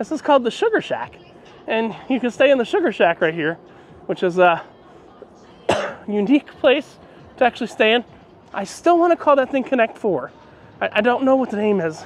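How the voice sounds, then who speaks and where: Fairly quick speech comes through with a dry sound, no echo, and light background noise. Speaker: travel vlogger. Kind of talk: casual vlog chat. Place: street. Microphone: phone near.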